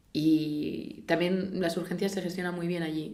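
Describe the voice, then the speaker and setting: A woman speaks with a fairly low pitch and a dark, mellow tone. Her pitch varies in an ordinary way, and audible room echo surrounds her. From Spain. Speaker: orthopaedic surgeon. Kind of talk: interview. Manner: halting, many false starts.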